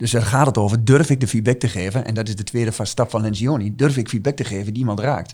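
A somewhat breathy man's voice of medium pitch, very fast, with ordinary pitch variation. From eastern Netherlands, Twente (Oldenzaal). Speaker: team coach. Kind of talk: podcast interview.

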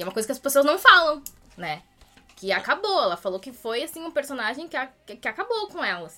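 Over noticeable background noise, a woman projects a raised, high voice at a very fast pace, with very wide pitch swings and big swings in loudness. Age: 20s. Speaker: history teacher. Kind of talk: casual interview.

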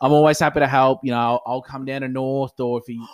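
The sound is dry and close with no echo. A man with an Australian accent and a medium pitch talks at a fairly quick pace. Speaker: podcast co-host, club cricketer. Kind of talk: casual chat.

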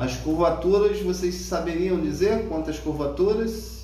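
Over noticeable background noise and audible room echo, a man talks. His pace is very slow. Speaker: radiology course instructor. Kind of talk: lecture. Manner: casual, with frequent filler words.

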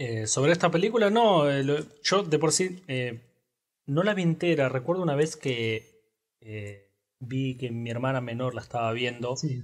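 A man speaks in a Rioplatense accent with lively intonation and a fairly high pitch. His pace is moderate, with long, frequent pauses. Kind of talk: casual chat about film. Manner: casual, halting, with filler words.

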